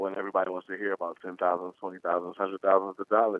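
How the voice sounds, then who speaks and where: At a very fast pace, a man delivers his words in a fairly low, monotone and flat voice. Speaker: rapper. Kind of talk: casual interview.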